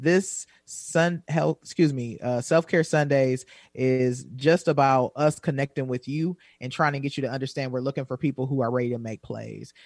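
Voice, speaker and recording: A plain, everyday voice with an American accent comes through at a moderate pace with fairly even intonation, in a very clean recording with a silent background and a dry, close sound with no echo. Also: man, medium pitch for a man. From Wisconsin. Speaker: self-care coach. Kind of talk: casual chat.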